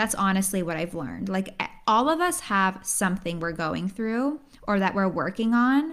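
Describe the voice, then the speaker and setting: A woman's normal speaking voice at medium pitch with lively intonation, on a very clean recording with a silent background. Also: moderate pace. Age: 20s. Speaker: podcast host and pharmacist. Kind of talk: solo podcast monologue.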